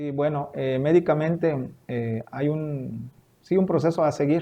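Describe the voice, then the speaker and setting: This voice speaks at a very slow pace with fairly even intonation. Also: man, fairly high pitch for a man. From Veracruz, Mexico. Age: 40s. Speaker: cancer survivor. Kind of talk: interview testimony.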